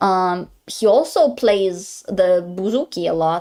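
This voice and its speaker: A woman with a medium pitch and ordinary pitch variation, in a very clean recording with a silent background. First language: Greek. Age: 20s. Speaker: vtuber streamer. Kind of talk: casual chat. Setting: live stream.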